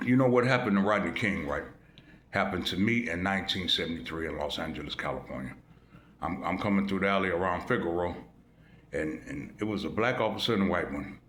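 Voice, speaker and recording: A man talks in a very deep, low voice with ordinary pitch variation. The room echo is audible. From US Midwest, Chicago. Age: 60s. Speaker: YouTube commentator. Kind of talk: casual monologue. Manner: animated.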